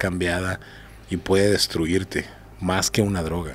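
Speaking at a moderate pace, a man with a very deep, low pitch keeps his intonation fairly even over light background noise. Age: 40s. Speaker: bodyguard; podcast guest. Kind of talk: casual interview. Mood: candid, serious. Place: studio. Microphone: studio mic.

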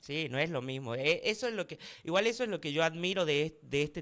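A man speaking in an animated tone at a moderate pace. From Tucumán interior, Argentina (Famaillá); Tucumán, Argentina. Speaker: content creator. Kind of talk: casual talk show interview. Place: studio. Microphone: studio mic.

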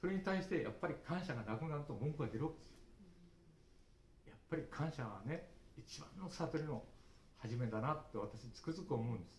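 With vocal fry and lively intonation, a man speaks at a moderate pace, his loudness swinging widely, amid light background noise and audible room echo. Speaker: early childhood education lecturer. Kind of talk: speech at study group. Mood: earnest, reflective. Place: hall. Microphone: camera far.

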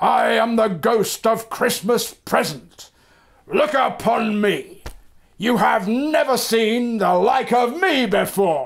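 A man puts on a character voice at an extremely high pitch. He talks at a very slow pace. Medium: read story. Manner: grand, commanding.

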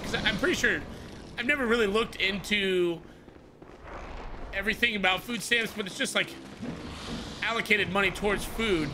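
Against clear music in the background, a man with an American accent speaks in an animated tone at a high pitch and moderate pace with ordinary pitch variation. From Tucson, Arizona; Arizona. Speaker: gaming streamer. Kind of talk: live gameplay commentary with chat. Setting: live stream. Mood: relaxed, chatty. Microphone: studio mic.

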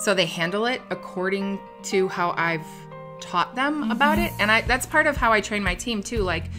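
At a moderate pace, a woman speaks while clear music sounds in the background. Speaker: interview guest, sales director. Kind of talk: interview answer. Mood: cheerful, proud, laughing. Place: home room. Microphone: lapel.

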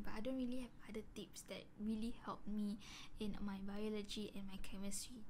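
Light background noise accompanies a woman as she talks. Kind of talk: casual vlog chat. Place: home room.

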